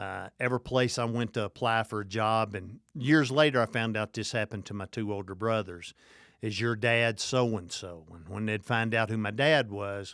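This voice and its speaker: Speech with a Southern accent at a moderate pace, with fairly even intonation and big swings in loudness. The recording is very clean, dry and close, with a silent background and no echo. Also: man, fairly low pitch for a man. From Kentucky, small town. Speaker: addiction recovery expert and Air Force veteran. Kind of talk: interview.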